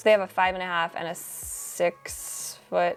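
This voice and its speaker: A woman's fairly low voice in an animated tone, with music in the background. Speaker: interior design vlogger. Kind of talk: product roundup vlog. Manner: fast.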